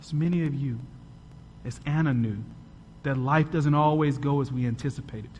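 A man's somewhat breathy, fairly high voice at a moderate pace, dramatic in tone with fairly even intonation, long and frequent pauses, and audible room echo. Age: 30s. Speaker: podcast host and guest preacher. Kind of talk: Sunday sermon from the pulpit, rhetorical questions and testimony. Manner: dramatic, building cadence with rhetorical questions; earnest, rhythmic repetition of paired phrases.

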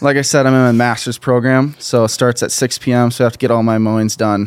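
A man's medium-pitched voice in an American accent, fairly quick and monotone, with flat intonation. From southern Minnesota, US. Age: 20s. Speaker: college football player and entrepreneur. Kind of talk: casual interview. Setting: studio.

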